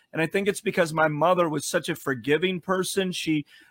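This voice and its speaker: A man with a fairly high voice and ordinary pitch variation is heard in a dry, close sound with no echo. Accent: Chicago. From Chicago, US Midwest. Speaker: pastor. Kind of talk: interview.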